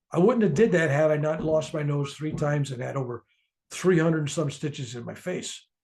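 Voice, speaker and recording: Speaking in a normal speaking voice with an American accent, a man talks fairly quickly at a fairly high pitch. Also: ordinary pitch variation, quiet background. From US. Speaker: author and spiritual speaker. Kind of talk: interview about his book.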